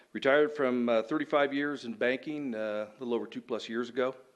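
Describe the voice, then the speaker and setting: A man talks at a fairly quick pace in a plain, everyday voice. His pitch varies in an ordinary way. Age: 60s. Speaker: council applicant, retired banker. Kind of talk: public address at council meeting. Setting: city council meeting. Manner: formal.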